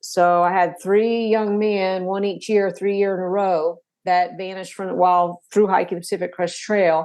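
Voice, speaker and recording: With a Tennessee accent, a woman speaks at a moderate pace in a monotone, flat intonation, with hardly any pauses. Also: medium pitch for a woman. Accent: Southern US (Tennessee). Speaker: author. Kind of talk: interview. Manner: halting.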